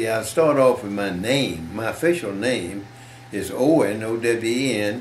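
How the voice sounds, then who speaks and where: Someone with a Southern US accent speaks at a fairly slow pace, with audible room echo and noticeable background noise. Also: man. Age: 90s. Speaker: war veteran. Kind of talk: interview. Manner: halting.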